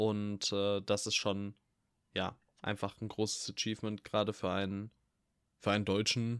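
A man speaks at a fairly slow pace and a fairly low pitch. The recording is very clean and dry, close with no echo and a silent background. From Ruhr area, Germany. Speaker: film podcast co-host. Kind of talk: casual chat.

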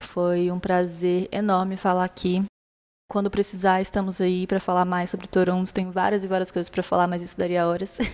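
A woman at medium pitch with monotone, flat intonation and a fairly quick pace. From Brasília, Brazil. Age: 20s. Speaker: listener sharing exchange experience. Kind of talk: recorded personal testimony. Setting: recorded voice message.

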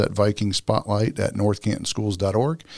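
A man with a fairly low voice, an ordinary speaking voice, talks at a fairly quick pace on a very clean recording with a silent background. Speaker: school superintendent and podcast host. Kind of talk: interview podcast, conversational.

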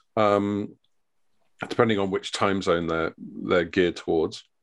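A man speaks with a British accent at a moderate pace. The background is quiet. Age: 50s. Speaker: trade journalist and editor. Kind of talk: casual interview chat.

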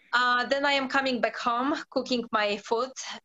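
A woman speaks with a Polish accent. Her intonation stays fairly even. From Poland. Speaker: football freestyler. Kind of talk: interview. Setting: radio studio.

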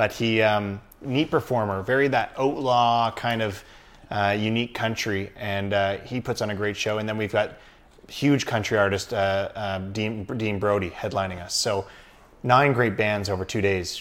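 A man with a Canadian accent and an ordinary speaking voice talks at a moderate pace and fairly low pitch on a very clean recording with a silent background. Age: 30s. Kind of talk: casual interview.

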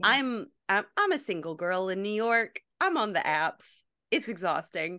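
A woman with an American accent and a normal speaking voice talks at a fairly slow pace, medium in pitch with lively intonation, over a quiet background. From North Carolina. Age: 30s. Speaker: actress and cosplayer. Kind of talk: casual chat.

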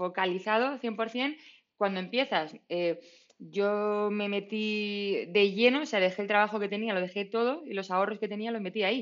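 The speaker uses a Madrid accent, with a moderate pace and ordinary pitch variation. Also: woman. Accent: Castilian Spanish (Madrid). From Madrid, Spain. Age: 30s. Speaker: startup founder. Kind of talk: casual interview. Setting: remote call.

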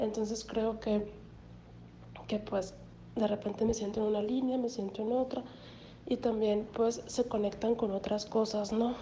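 The delivery is monotone and flat, with very even loudness and long, frequent pauses. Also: woman. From Mexico, Hermosillo, Sonora. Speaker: graduate student describing her artwork. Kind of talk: personal reflection on an artwork. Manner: halting, many fillers and repetitions.

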